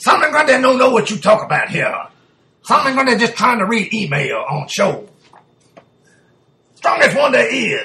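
Putting on a character voice, a man speaks at an extremely high pitch with long, frequent pauses. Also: moderate pace. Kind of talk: broken third-person speech. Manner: dim, gruff, slow.

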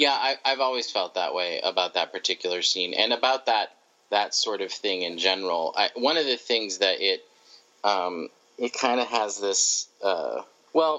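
Lively intonation from a man with a fairly low pitch, speaking at a moderate pace. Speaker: podcast guest. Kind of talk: casual chat. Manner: soft-spoken.

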